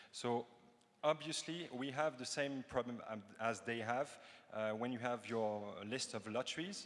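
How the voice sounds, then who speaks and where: With a French accent, a man speaks with ordinary pitch variation. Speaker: cryptography researcher. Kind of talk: conference Q&A answers. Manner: halting, many fillers.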